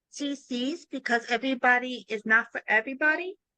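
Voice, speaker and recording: Speaking at a fairly slow pace in a raised, projected voice, a woman sounds bright and sharp, high in pitch with ordinary pitch variation, in a dry, close recording with no echo. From New York, Brooklyn. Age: 40s. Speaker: transaction coordinator, business founder. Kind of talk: interview. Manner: casual, with many fillers and self-corrections.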